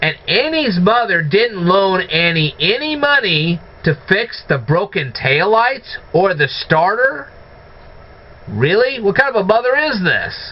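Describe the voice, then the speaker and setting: Noticeable background noise sits behind a man with a high pitch, talking at a fairly slow pace. His pitch swings very widely while his loudness stays very even. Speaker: movie reviewer. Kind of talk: casual talk to camera.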